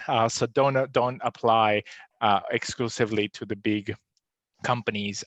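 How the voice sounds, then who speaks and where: In a dry, close sound with no echo and a quiet background, a man with a non-native accent speaks at a moderate pace and a fairly low pitch. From outside Australia, non-English-speaking country. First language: not English. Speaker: podcast host, data scientist. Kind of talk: live webinar Q&A. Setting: live stream. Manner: hesitant, many fillers.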